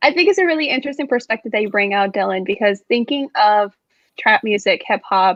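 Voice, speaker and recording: This woman has a medium-pitched voice and speaks with a Spanish accent. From Mexico. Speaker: student panelist. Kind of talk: casual chat.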